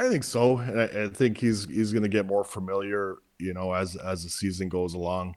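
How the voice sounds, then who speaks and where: With hardly any pauses, a man talks at a moderate pace, fairly low in pitch and with fairly even intonation. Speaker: former hockey player. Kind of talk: sports interview. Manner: relaxed, hesitant.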